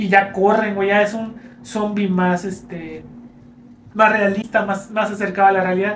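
A man's high-pitched, flat, monotone voice with a Mexican accent, at a fairly slow pace, with audible room echo and noticeable background noise. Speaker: podcast co-host. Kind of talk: casual chat.

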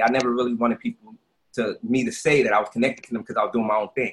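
A man rattles along at a very fast pace in a Brooklyn accent. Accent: New York (Brooklyn). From Brooklyn, New York (Brownsville). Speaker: entrepreneur and youth basketball league founder. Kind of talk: casual interview.

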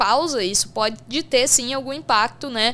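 Against clearly audible background noise, a woman speaks at a moderate speed, her pitch varying in a normal way. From Brazil, São Paulo state interior. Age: 20s. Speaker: sports betting professional. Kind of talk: casual interview.

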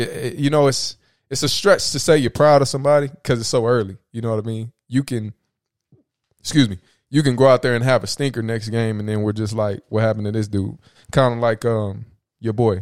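A man's fairly quick, unremarkable speaking voice at medium pitch, ordinary pitch variation, dry and close with no echo. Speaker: sports podcast host. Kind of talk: casual banter.

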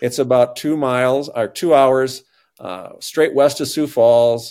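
With an Upper Midwest accent, a man speaks at a medium pitch in a dark, mellow tone. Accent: Upper Midwest American. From northeast South Dakota. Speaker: dentist turned lay pastor. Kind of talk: casual interview. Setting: remote call.

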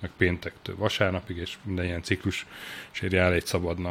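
Male speech at a moderate pace, very deep and low in pitch. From Hungary, Sopron. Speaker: journalist and deputy editor-in-chief. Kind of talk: casual interview.

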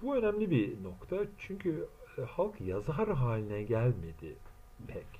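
Through audible room echo, a man speaks at a very slow pace with very wide pitch swings. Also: fairly high pitch for a man. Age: 40s. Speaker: translator and self-styled theorist. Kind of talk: solo monologue lecture. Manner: halting, many filler sounds.

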